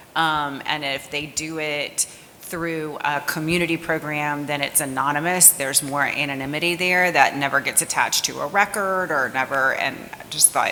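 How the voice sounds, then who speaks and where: A woman speaks with a very deep, low pitch and hardly any pauses. Noticeable background noise runs underneath. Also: fairly even intonation, moderate pace. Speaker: audience member, suicide prevention program worker. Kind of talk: audience question. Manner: loud.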